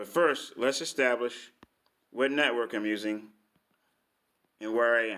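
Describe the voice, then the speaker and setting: Using long, frequent pauses, a man speaks at a fairly slow pace in a bright, sharp tone. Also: medium pitch for a man, ordinary pitch variation. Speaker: vlogger. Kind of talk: casual monologue. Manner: halting, many fillers.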